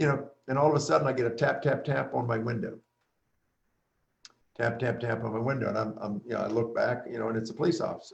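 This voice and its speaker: A man's very fast speech with vocal fry, medium pitch and ordinary pitch variation. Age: 60s. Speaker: businessman and community leader. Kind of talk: candid conversation on race, personal anecdote. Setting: live video stream.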